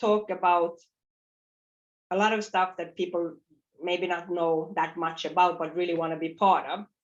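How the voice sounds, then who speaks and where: Her delivery moves along fairly quickly. This woman's pitch rises and falls in an ordinary way. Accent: Nordic. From northern Sweden, Finnish parents. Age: 40s. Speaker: fintech co-founder and CEO. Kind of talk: conference talk. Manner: loud and clear; repetitive false starts.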